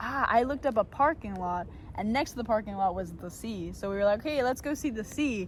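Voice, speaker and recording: Using a normal speaking voice, a woman with an American accent talks with lively intonation in a fairly high pitch. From Argentina and the United States. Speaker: travel vlogger. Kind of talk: casual chat.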